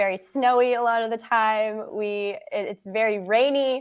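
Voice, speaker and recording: A woman speaks in a normal speaking voice. Her pitch is fairly high, with a Canadian accent. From Canada, Halifax, Nova Scotia. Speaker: ecologist. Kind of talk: interview.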